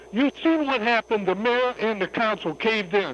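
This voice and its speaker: A loud, high-pitched man's voice with an American accent, moderate pace, ordinary pitch variation, and a dry, close sound with no echo. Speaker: caller. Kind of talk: heated call-in argument. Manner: animated.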